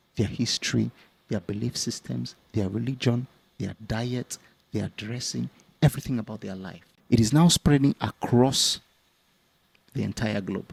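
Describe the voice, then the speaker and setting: Dry and close with no echo, a man's medium-pitched voice with vocal fry moves at a moderate pace, with ordinary pitch variation, big swings in loudness and long, frequent pauses. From West Africa. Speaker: YouTuber, commentator. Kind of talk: casual discussion. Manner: hesitant, many fillers.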